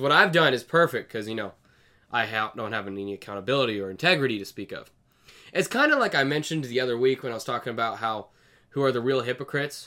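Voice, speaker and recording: A man talks at a very fast pace in a medium pitch with ordinary pitch variation. The recording is very clean, with a silent background. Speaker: video commentator. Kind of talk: solo video monologue. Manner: casual, conversational.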